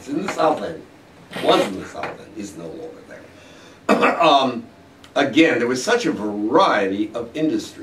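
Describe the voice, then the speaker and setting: A man with a fairly high pitch talks at a moderate pace with very wide pitch swings, big swings in loudness and long, frequent pauses, over audible room echo and noticeable background noise. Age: 70s. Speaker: local historian. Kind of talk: interview. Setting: studio. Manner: halting with fillers.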